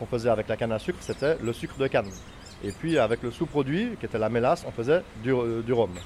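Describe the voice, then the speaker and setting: A man speaks with ordinary pitch variation. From Martinique. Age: 40s. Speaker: rum distillery owner. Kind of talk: interview. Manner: halting, many hesitations.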